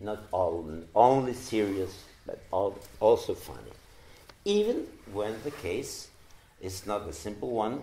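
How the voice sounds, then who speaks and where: Audible room echo surrounds a man who speaks at a fairly slow pace, with big swings in loudness and long, frequent pauses. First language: Spanish. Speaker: psychoanalyst. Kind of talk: lecture. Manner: halting.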